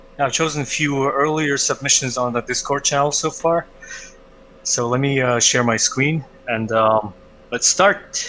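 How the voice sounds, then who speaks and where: Against light background noise, a man with a fairly high pitch and a bright, sharp tone speaks at a fairly slow pace with ordinary pitch variation. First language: not English. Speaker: art critique co-host. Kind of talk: live-stream art critique. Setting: live stream. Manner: hesitant, many filler uhs. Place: home room. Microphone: headset.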